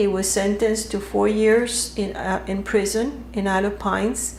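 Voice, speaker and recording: A woman talks at a fairly slow pace amid audible room echo and noticeable background noise. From Cuba, Havana. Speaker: interviewee, daughter of a Cuban general. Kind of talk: interview. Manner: hesitant, many fillers.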